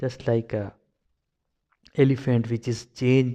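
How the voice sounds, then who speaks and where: A man's medium-pitched, dark and mellow voice in a Pakistani accent, very slow, with monotone, flat intonation. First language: Urdu. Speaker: video blogger. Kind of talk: personal commentary monologue. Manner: halting, many fillers and repetitions.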